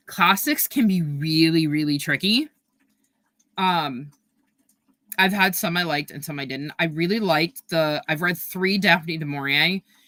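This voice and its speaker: This woman has a very deep, low pitch and a bright, sharp tone, with a New York accent and ordinary pitch variation. She talks at a moderate pace on a very clean recording with a silent background. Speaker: booktuber livestreamer. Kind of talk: casual livestream chat reading chat comments. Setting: livestream. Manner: hesitant, many fillers.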